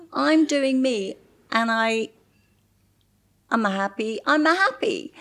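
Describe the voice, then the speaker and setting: The speaker has an English accent and talks very slowly. Their pitch rises and falls over a very wide range. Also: woman. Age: 60s. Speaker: model. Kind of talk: interview conversation.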